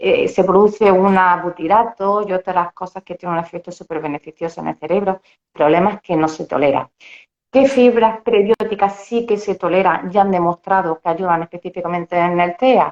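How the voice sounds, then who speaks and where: With a normal speaking voice, a woman talks at a moderate pace and medium pitch, her pitch varying in an ordinary way over a dry, close sound with no echo. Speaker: dietitian-nutritionist. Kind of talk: interview.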